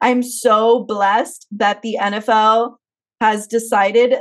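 The woman's pitch is fairly high, and the background stays quiet. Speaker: podcast host. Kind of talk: casual chat. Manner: animated. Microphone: video call.

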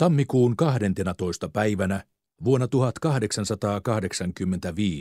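An unforced reading voice against a quiet background.

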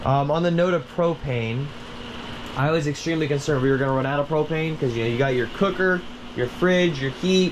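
A man at a fairly quick pace with ordinary pitch variation, over noticeable background noise. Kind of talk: casual review walk-through. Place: home room. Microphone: phone near.

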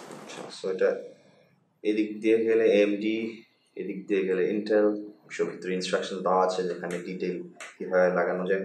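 The clip carries audible room echo and light background noise. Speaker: tech reviewer. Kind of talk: tech review, casual talk to camera. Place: home room.

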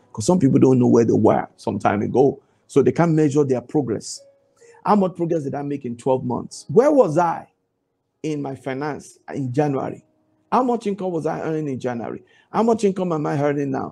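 The delivery is at a fairly quick pace. Behind it, music plays in the background. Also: man. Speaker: preacher. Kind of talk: devotional Bible teaching with fervent prayer. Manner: emphatic, exhorting, repeats commands; fervent, declaring prayer. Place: home room. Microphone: lapel.

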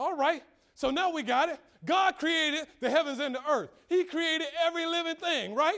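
Against a quiet background, a man uses a raised, projected voice with ordinary pitch variation. His tone is bright, sharp, animated and energetic. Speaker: preacher. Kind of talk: sermon. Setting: church. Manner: animated, call-and-response preaching with rhetorical questions and exclamations; conversational, humorous, and energetic. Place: church.

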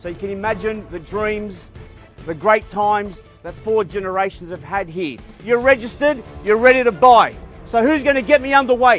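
A man speaks at a high pitch and moderate pace with ordinary pitch variation and big swings in loudness. The sound is dry with no echo, and faint music plays in the background. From Australia. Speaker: auctioneer. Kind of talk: auctioneer opening address to crowd. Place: garden.

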